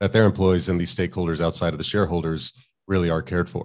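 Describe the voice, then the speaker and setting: A man speaks with a very deep, low pitch and vocal fry. His pitch varies in an ordinary way, and the background is quiet. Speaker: finance educator and channel host. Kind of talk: interview. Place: home room. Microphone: studio mic.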